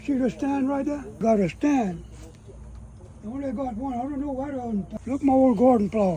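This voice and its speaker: At a moderate pace, a man talks in an extremely high pitch with ordinary pitch variation, leaving long, frequent pauses. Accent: Cajun. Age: 80s+. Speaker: elderly rural homesteader. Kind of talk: casual chat.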